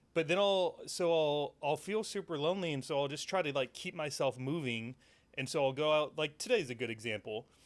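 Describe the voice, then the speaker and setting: On a very clean recording with a silent background, a man talks in a plain, everyday voice. His fairly high pitch and lively intonation come at a fairly quick pace. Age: 30s. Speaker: podcast host. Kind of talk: casual chat. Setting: studio.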